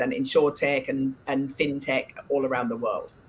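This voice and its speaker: A woman with an English accent and a very deep, low pitch talks at a moderate pace against noticeable background noise. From England. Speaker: board director and financial services advisor. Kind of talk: interview. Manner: halting, many filler words.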